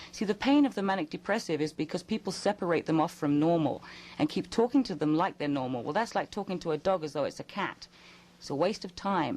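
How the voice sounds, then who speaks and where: At a very fast pace, the speaker uses lively intonation and has an English accent. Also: woman, fairly low pitch for a woman. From England. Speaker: psychic. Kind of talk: radio call-in advice. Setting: radio studio.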